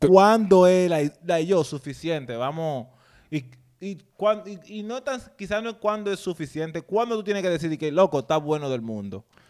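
In a very clean recording with a silent background, a man speaks at a moderate pace in a high pitch with lively intonation. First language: bilingual Spanish-English (speaking Spanish). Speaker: podcast co-host. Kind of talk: casual chat.

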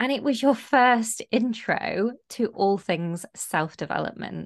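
A woman's ordinary speaking voice with lively intonation at a fairly slow pace over a quiet background. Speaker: podcast co-host. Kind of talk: casual chat.

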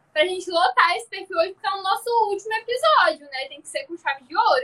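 A woman with an extremely high pitch projects her raised voice in a bright, sharp tone, with very wide pitch swings and big swings in loudness. She goes at a very fast pace with hardly any pauses, in a dry, close sound with no echo. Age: 20s. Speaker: podcast host and social media creator. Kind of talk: casual chat.

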